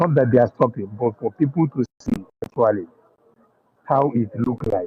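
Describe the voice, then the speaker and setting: A man speaks with a Nigerian accent at a medium pitch. His voice is somewhat breathy, with ordinary pitch variation. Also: moderate pace. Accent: Nigerian Igbo English. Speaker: caller on online talk stream. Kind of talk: passionate call-in speech. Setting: waiting at a train station.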